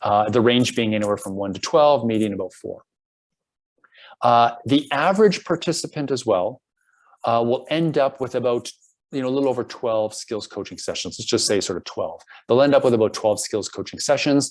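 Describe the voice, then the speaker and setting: In a very clean recording with a silent background, a man has a plain, everyday voice, talking at a fairly quick pace with ordinary pitch variation. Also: medium pitch for a man. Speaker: program director presenting a coaching program. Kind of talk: presentation.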